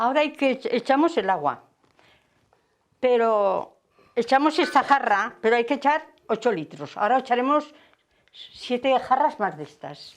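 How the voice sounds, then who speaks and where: A woman with a high pitch talks at a fairly slow pace, with lively intonation and long, frequent pauses. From Aragon, Spain (Ardisa, Zaragoza). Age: 80s+. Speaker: village woman demonstrating a traditional craft. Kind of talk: demonstration with reminiscences.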